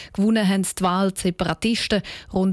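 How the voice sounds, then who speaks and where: A plain, everyday voice from a woman at medium pitch, with fairly even intonation and a dry, close sound with no echo. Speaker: radio news presenter. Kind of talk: news reading. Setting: studio.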